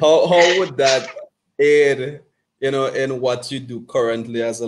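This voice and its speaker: A man speaks with a Vincentian accent and ordinary pitch variation. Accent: Vincentian Caribbean English. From Saint Vincent. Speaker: podcast host, fitness coach. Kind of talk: interview conversation.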